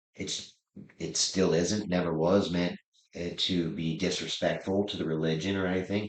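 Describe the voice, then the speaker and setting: With a Pennsylvania accent, a man speaks at a moderate pace in a very deep, low pitch and fairly even intonation. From Pennsylvania, Lebanon County (Pennsylvania Dutch area). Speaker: rodeo clown and comedian. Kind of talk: interview. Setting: sit-down interview.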